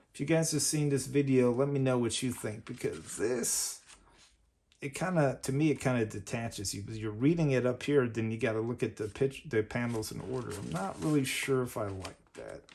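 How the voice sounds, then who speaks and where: An ordinary speaking voice, fairly quick, with ordinary pitch variation. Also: man, medium pitch for a man. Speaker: comic collector YouTuber. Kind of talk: unboxing commentary.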